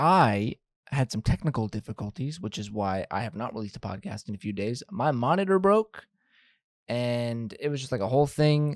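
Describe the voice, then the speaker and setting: A man's medium-pitched voice, an unremarkable speaking voice, at a fairly quick pace, dry and close with no echo. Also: very clean recording, silent background. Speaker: baseball podcast host. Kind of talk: casual podcast monologue.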